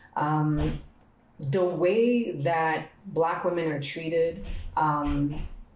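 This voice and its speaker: A woman speaks at a very slow pace with fairly low pitch and lively intonation. Audible room echo surrounds her voice. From Montreal, Quebec. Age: 30s. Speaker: podcast host. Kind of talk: personal reflection monologue. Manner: repetitive, emphatic.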